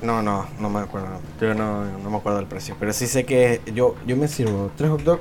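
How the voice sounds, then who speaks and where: A man speaks at a fairly low pitch and a moderate pace with hardly any pauses. Noticeable background noise sits behind him. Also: ordinary pitch variation. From Venezuela. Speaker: podcast co-host. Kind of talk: casual chat.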